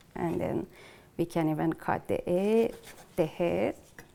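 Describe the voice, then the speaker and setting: The speaker talks at a very slow pace. Noticeable noise sits in the background. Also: woman. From northern Iran. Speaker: chef. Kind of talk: cooking tutorial. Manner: halting with many fillers.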